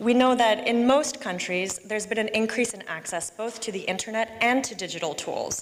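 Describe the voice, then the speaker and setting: Fairly high in pitch with ordinary variation, a woman speaks at a fairly quick pace over noticeable background noise. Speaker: policy researcher presenting at a conference. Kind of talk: conference presentation. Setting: conference hall with simultaneous interpretation. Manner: fast.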